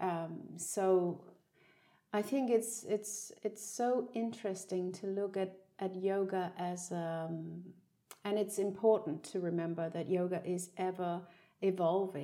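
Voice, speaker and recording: With a Danish accent, a woman speaks at a very slow pace in a dark, mellow tone at a medium pitch with fairly even intonation. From Denmark. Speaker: podcast host and yoga teacher. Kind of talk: casual chat. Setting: in the same room as the guest.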